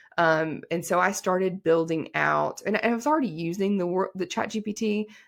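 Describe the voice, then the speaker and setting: A woman with an American accent at a medium pitch, moderate pace and ordinary pitch variation, on a very clean recording with a silent background. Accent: Southern twang, comes out now and then. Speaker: attorney. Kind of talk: podcast interview. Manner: casual, many fillers.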